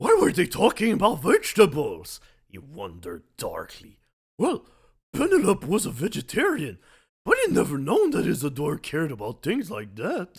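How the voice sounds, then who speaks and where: In a put-on character voice of middle pitch, the speaker talks at a moderate pace. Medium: game stream. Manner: sullen, angry.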